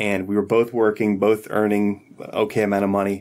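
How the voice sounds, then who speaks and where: Speech comes with an American accent. The pace is very fast. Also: man. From Philadelphia area, US. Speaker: insurance agent. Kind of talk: casual interview chat. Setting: studio.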